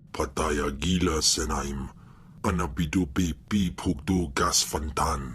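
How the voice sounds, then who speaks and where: Over clear background noise, a man speaks fairly slowly in a very deep, low voice. His cartoonish character voice has a menacing tone. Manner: menacing, guttural, speaks alien tongue.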